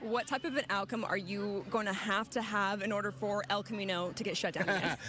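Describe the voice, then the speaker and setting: Over noticeable background noise, a woman talks at a fairly quick pace with very even loudness and ordinary pitch variation. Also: medium pitch for a woman. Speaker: multimedia journalist. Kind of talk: field reporter interview question.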